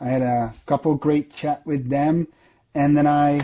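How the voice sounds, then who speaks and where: Fairly slow, fairly high-pitched speech from a man against a quiet background. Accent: European. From Europe. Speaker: software sales director, former arborist. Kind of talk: podcast interview.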